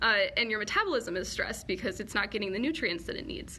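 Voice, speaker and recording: A woman with an American accent talks at a very fast pace in a fairly high pitch. Room echo is audible. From US, Colorado. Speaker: PhD student in virology. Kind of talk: live Q&A lecture. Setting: live online session. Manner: casual, filler-heavy.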